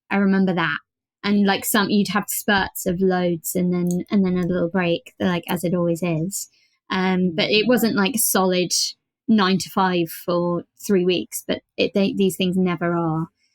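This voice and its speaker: A woman speaks at a fairly slow pace with medium pitch and fairly even intonation. The recording is very clean with a silent background, and the sound is dry and close with no echo. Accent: British. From Britain. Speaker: voice actor. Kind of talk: podcast interview. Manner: hesitant, many fillers and repeats.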